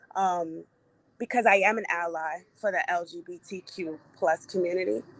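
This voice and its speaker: A woman talks at a moderate pace in an ordinary speaking voice with fairly low pitch. Her pitch variation is ordinary, and her loudness swings widely. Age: 40s. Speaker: show producer. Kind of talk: panel discussion.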